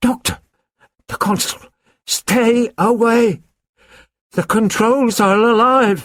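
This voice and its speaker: Putting on a croaky, hoarse character voice at a high pitch, a man talks at a very slow pace with long, frequent pauses and fairly even intonation. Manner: urgent, alarmed.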